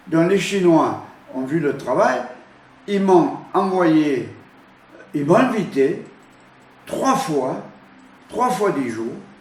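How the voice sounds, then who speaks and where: High male voice with very wide pitch swings, a very slow pace and long, frequent pauses, amid audible room echo and noticeable background noise. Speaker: photographer. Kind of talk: interview testimony. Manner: halting, many repetitions.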